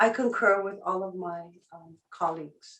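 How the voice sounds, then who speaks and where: Speaking in a Hawaiian accent, a woman of medium pitch talks at a fairly slow pace. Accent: Hawaiian local English. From Hawaii, west side of Kauai. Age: 60s. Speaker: public testifier, traditional healer. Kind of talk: public hearing testimony. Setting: video conference. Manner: halting, many fillers.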